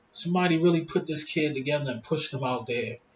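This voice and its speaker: Very fast speech from a man, his voice somewhat breathy. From Philadelphia, US. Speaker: YouTuber. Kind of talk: casual vlog monologue. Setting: smoking hookah at home.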